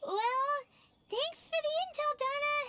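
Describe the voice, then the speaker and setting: A put-on character voice comes through. It is squeaky and extremely high-pitched. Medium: video game. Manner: excitable, bubbly.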